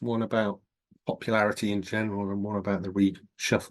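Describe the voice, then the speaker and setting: With a Northern English accent, a man speaks at a moderate pace and fairly low pitch against a quiet background. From northern England, Scottish borders. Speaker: professor. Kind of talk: interview.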